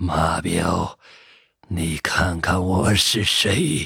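A hoarse, raspy put-on character voice from a man, very deep and low in pitch, with fairly even intonation and a very slow pace. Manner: menacing.

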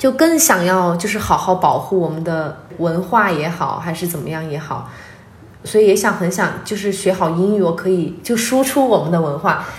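Her pitch is medium, with ordinary variation. The woman keeps a moderate pace. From Sichuan, China (Liangshan / Guanghan). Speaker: archaeology worker and farm-aid volunteer. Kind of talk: interview conversation. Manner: lively, frank.

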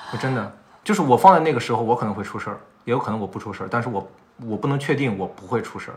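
Very fast talk from a man of medium pitch, somewhat breathy, with ordinary pitch variation and big swings in loudness. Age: 30s. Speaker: podcast host. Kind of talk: casual chat. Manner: talkative.

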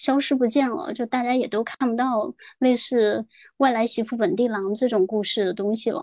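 A woman's fairly high voice at a moderate pace, with ordinary pitch variation and a dry, close sound with no echo. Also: very clean recording, silent background. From Guangdong. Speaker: podcast guest. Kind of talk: casual chat. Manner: halting, many fillers.

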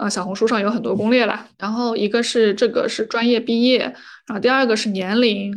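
In a normal speaking voice, the words come at a fairly quick pace with fairly even intonation. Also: woman, fairly high pitch for a woman. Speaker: podcaster and counselor. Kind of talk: casual chat.

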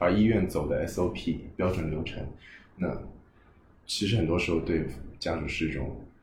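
A man's very deep, low voice, somewhat breathy, with fairly even intonation and long, frequent pauses. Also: moderate pace. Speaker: guest working in healthcare and education. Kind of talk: casual conversation. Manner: thoughtful, conversational, hesitant with fillers.

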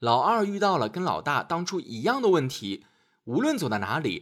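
A man's fairly bright voice at a medium pitch, with very wide pitch swings, on a very clean recording over a silent background.

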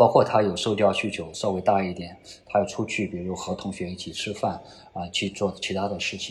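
A man with a somewhat breathy voice, fairly quick pace and monotone, flat intonation. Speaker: finance professor. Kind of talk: interview. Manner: many filler particles; repeats words, halting.

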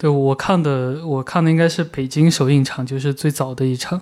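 Fairly quick speech from a man with a fairly high pitch. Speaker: podcast host, film magazine editor. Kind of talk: casual film discussion.

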